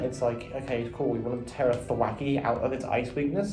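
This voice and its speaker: A man at medium pitch and a fairly quick pace, with audible room echo and music in the background. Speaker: competitive gaming commentator. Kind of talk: casual monologue review. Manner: filler-heavy, with frequent ums. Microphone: echoey room audio.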